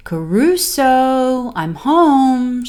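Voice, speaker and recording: Putting on a character voice, a woman speaks high with very wide pitch swings. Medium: read story.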